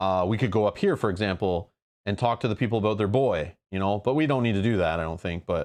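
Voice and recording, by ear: A quiet background surrounds a person reading aloud in a natural voice.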